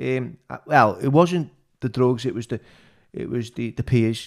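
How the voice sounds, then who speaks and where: With a plain, everyday voice, a man of medium pitch speaks at a fairly slow pace with lively intonation on a very clean recording over a silent background. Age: 40s. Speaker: podcast host, former prisoner. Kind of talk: interview, casual chat.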